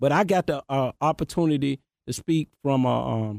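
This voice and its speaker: In a Memphis accent, a man with a dark, mellow tone speaks at a medium pitch with lively intonation, the sound dry and close with no echo. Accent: Southern US, Memphis. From South Memphis, Tennessee. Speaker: rapper. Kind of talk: casual interview.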